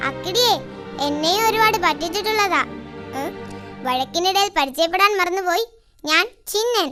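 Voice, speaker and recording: A cartoonish character voice moves at a moderate pace while faint music plays in the background. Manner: quick, cheeky.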